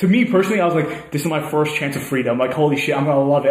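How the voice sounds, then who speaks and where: A man talks at a very fast pace with a fairly high pitch. Noticeable background noise runs underneath. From Canada. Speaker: podcast co-host, university student. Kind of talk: casual chat. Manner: fast talker.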